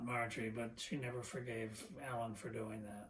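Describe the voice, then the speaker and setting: Somewhat breathy and at a medium pitch, a man talks at a moderate pace. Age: 80s+. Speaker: interviewee. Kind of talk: casual chat.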